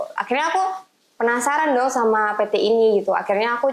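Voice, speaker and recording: Her pace is very fast. The woman has a fairly high pitch and ordinary pitch variation. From East Java, Indonesia (Tuban). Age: 20s. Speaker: business consultant. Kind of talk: podcast interview.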